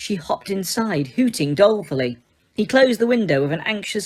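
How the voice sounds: Intonation is lively in this natural reading voice.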